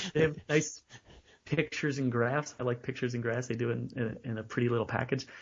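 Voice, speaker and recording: Talking at a very fast pace, a man with a medium pitch sounds somewhat breathy and keeps his intonation fairly even. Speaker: self-published author. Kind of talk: interview. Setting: podcast interview.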